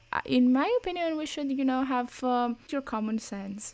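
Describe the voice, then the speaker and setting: This woman has a Greek accent. She talks at a moderate pace. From Greece. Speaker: podcast co-host. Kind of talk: casual chat.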